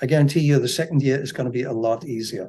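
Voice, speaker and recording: A man talks at a very fast pace in a somewhat breathy voice with ordinary pitch variation. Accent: German. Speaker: real estate agency founder. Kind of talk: podcast interview. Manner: halting, with repetitions and fillers.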